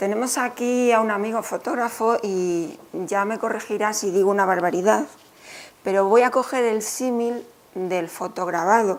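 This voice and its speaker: A woman with a fairly high pitch talks in an ordinary speaking voice at a fairly slow pace, with ordinary pitch variation. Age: 60s. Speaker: author. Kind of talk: book presentation talk.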